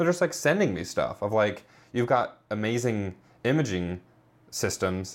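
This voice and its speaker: An ordinary speaking voice with an American accent on a very clean recording with a silent background. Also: man. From Indiana. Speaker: filmmaker. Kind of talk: casual interview.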